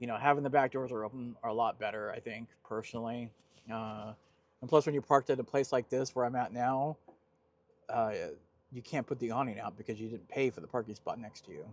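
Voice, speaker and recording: In an American accent, a man with an ordinary speaking voice talks at a fairly quick pace and a medium pitch, his intonation fairly even but with big swings in loudness, on a dry, close recording with no echo. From Southern California. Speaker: vanlife vlogger. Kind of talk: casual vlog talk to camera. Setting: outdoors at a beach parking spot.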